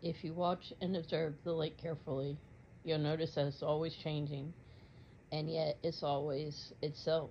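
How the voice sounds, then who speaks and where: This woman's very deep, low voice stays monotone and flat, moving at a moderate pace with a somewhat breathy quality. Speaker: meditation guide. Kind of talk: guided meditation. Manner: soft-spoken, measured, dreamy.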